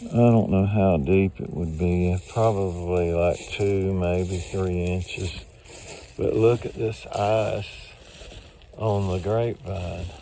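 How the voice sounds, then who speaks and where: A man talks at a very slow pace, pitched fairly low, with fairly even intonation. Noticeable background noise runs under his voice. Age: 70s. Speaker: video blogger. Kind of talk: casual vlog narration. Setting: outdoors.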